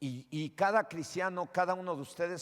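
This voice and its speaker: A man with a plain, everyday voice speaks at a moderate pace with lively intonation, in a very clean recording with a silent background. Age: 60s. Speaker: pastor. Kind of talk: sermon.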